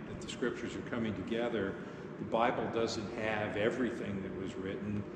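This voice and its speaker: Male speech with noticeable background noise and audible echo from the room. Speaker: pastor teaching confirmation class. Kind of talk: lecture. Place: church.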